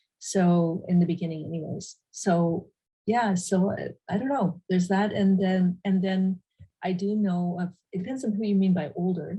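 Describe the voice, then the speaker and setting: Somewhat breathy and dark, mellow in tone, this woman's medium-pitched voice moves at a moderate pace with fairly even intonation and long, frequent pauses. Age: 60s. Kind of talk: panel discussion. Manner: halting.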